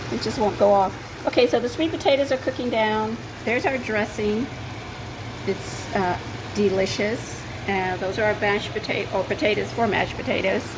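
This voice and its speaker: A woman speaks with ordinary pitch variation amid noticeable background noise and audible room echo. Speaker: cooking show host. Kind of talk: cooking tutorial. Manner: fast.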